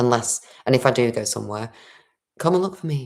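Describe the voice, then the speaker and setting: This woman's voice is resonant. Its pitch is very deep and low. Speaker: spiritual livestreamer. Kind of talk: livestream monologue. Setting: home livestream. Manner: throat clearing.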